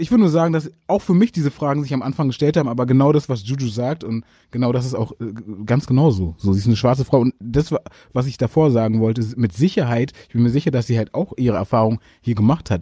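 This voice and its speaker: Very fast and somewhat breathy, a man speaks at a medium pitch in a dark, mellow tone with ordinary pitch variation, recorded very cleanly with a silent background and a dry, close sound with no echo. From Germany, Berlin. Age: young. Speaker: rapper. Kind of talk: interview.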